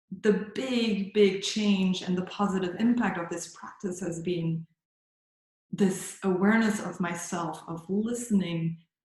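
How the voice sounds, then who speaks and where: A woman with a German accent, medium in pitch and somewhat breathy, with ordinary pitch variation at a fairly slow pace. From Germany. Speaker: yoga teacher. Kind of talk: interview. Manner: halting.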